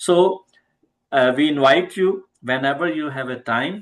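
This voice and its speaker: Someone with an Indian accent talks at a moderate pace against a quiet background. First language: Hindi. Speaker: homeopathy teacher. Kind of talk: online class discussion.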